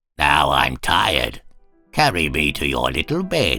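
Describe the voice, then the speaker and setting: A man does a put-on character voice with a very deep, low pitch, going at a fairly slow pace while faint music plays in the background. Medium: read story.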